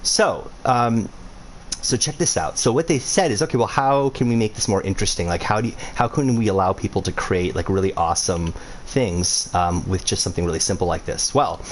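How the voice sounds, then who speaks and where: Noticeable background noise sits behind a man speaking at a fairly quick pace and a medium pitch. His tone is animated and his intonation lively. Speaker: game creator streaming a tutorial. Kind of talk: casual livestream tutorial. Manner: fast.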